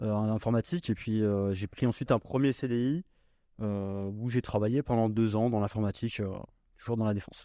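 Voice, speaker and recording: Against a quiet background, the speaker talks at a moderate pace with long, frequent pauses, fairly even intonation and a dark, mellow tone, the sound dry and close with no echo. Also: man, fairly low pitch for a man. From Normandy, France. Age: 20s. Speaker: real estate investor. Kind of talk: casual chat.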